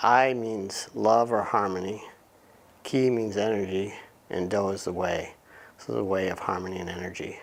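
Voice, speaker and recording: Speaking at a moderate pace with long, frequent pauses, a man with a fairly low pitch is heard over noticeable background noise and audible room echo. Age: 50s. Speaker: martial arts teacher. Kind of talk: interview monologue. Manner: flat expression, halting.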